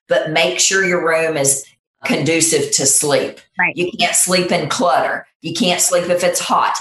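This woman has a normal speaking voice with a fairly low pitch. She talks at a fairly slow pace with lively intonation. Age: 50s. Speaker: nurse practitioner. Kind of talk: interview.

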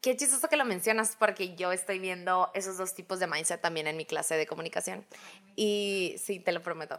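A woman with an ordinary speaking voice talks at a fairly quick pace, her medium pitch showing ordinary variation. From Hermosillo, Sonora, Mexico. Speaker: podcast co-host. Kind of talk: casual chat.

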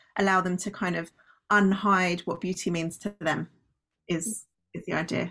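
A woman speaks with a British accent at a moderate pace. Her intonation is fairly even, on a very clean recording with a silent background. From Britain. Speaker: company founder and former doctor. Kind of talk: interview.

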